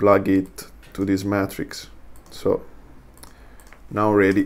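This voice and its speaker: Speaking with a non-native accent, the voice moves very slowly. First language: not English. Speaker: software tutorial creator. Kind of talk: tutorial. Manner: halting, many fillers.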